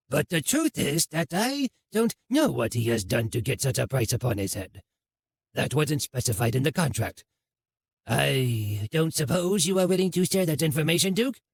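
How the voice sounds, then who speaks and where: A man puts on a raspy character voice at a fairly high pitch. He keeps a moderate pace. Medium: read story. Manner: formal, courteous.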